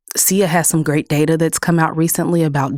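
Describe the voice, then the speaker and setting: A woman with a Texas accent speaks in a very deep, low pitch and a monotone, flat intonation, recorded very cleanly against a silent background with a dry, close sound and no echo. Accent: Texas accent, noticeable. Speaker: clean energy policy director. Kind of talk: podcast interview.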